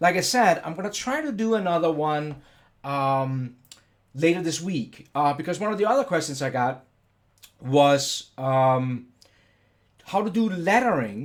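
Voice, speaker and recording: Pitched fairly high, a man talks at a fairly slow pace with long, frequent pauses. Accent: Danish. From Denmark. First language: Danish. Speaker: software educator / CAD YouTuber. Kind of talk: live stream tutorial. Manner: casual, hesitant with many fillers.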